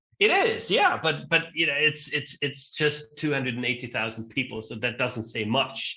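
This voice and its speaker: A man with a fairly high pitch and ordinary pitch variation speaks at a moderate pace with hardly any pauses. Noticeable background noise is audible. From Austria (Vienna, then Graz). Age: 40s. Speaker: event co-founder and CEO. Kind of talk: interview. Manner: casual, with many fillers and repetitions.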